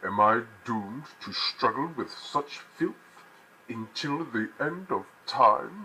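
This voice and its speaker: Using a put-on character voice, a man speaks at a fairly slow pace in a menacing tone. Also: fairly high pitch for a man. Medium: voice reel. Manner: grandiose, menacing.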